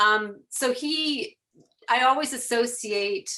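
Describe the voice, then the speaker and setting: A woman with a slight Chicago accent speaks in a bright, sharp tone with ordinary pitch variation. The recording is very clean with a silent background. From Chicago area, US Midwest. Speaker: photographer and fan telling her story. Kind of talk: podcast interview.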